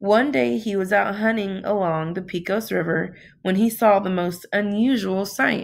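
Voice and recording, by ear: Read aloud in a natural voice, the words carry ordinary pitch variation.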